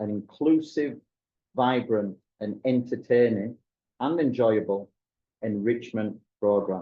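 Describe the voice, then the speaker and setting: Speaking slowly, a man with a Yorkshire accent keeps an ordinary pitch variation at a fairly slow pace. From northern England, Wakefield, West Yorkshire. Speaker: school dean. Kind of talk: webinar presentation.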